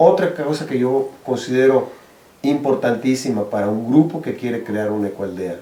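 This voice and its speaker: Audible room echo surrounds a man speaking at a fairly slow pace. His medium-pitched voice has lively intonation. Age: 60s. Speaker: social activist, eco-village co-founder. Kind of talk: interview advice. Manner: halting, with repetitions.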